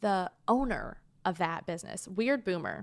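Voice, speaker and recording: Vocal fry from a woman at medium pitch, in a very clean recording with a silent background. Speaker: podcast co-host. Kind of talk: casual banter between friends. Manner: joking, sarcastic, deadpan.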